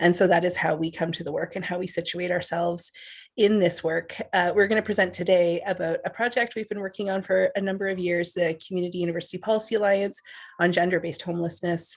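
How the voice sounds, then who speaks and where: Speaking at a very fast pace, a woman keeps a flat, monotone intonation in a fairly low voice. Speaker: associate professor of social work. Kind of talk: academic presentation.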